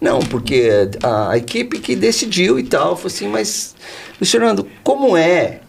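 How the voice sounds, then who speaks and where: A fairly high-pitched male voice with very wide pitch swings at a fairly slow pace, over noticeable background noise. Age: 60s. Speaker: insurance company founder. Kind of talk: podcast interview. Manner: animated.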